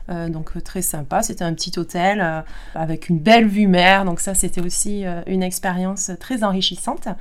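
This woman has a medium pitch and fairly even intonation, speaking at a moderate pace. Some room echo can be heard. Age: 40s. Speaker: kinesiologist. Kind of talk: interview testimony.

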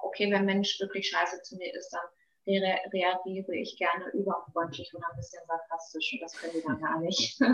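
A woman with an ordinary speaking voice and ordinary pitch variation. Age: 30s. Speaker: beautician. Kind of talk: interview. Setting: podcast interview.

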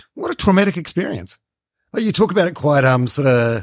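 With a New Zealand accent, a man talks at a moderate pace in very wide pitch swings. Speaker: podcast host. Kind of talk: interview.

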